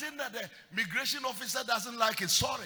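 In a Ghanaian accent, a man speaks at a moderate pace in a raised, projected voice with an animated tone and an extremely high pitch, over noticeable background noise. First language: Akan. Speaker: preacher. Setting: church. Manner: animated, emphatic, with storytelling asides and frequent calls for amen.

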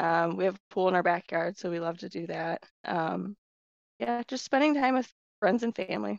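Speaking with an American accent at a moderate pace, a woman with a fairly low pitch makes very wide pitch swings and big swings in loudness, the sound dry and close with no echo. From Iowa, US Midwest. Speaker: senior financial analyst. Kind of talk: casual interview chat.

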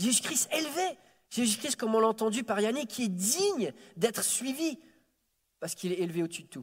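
A man's high-pitched voice at a fairly quick pace, with very wide pitch swings and long, frequent pauses. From France, early childhood in Quebec City. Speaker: preacher. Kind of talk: sermon. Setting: church service. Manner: halting, repeats words.

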